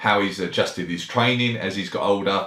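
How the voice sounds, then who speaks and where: A man with a fairly low pitch, a normal speaking voice, and a fairly quick pace. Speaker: podcast host. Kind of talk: podcast intro.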